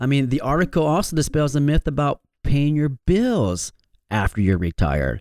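This man has a fairly high pitch and very wide pitch swings, with a Michigan accent. The sound is dry and close, with no echo. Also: moderate pace, very even loudness. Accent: Michigan, general American. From Michigan, US. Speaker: financial advisor and radio host. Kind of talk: radio show presentation. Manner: friendly, conversational.

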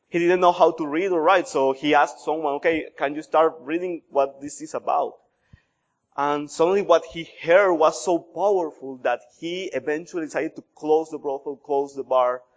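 Delivered in a Colombian accent at a moderate pace, the voice keeps fairly even intonation while its loudness swings widely. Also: man, fairly high pitch for a man. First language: Spanish. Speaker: missionary pastor. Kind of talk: sermon. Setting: church.

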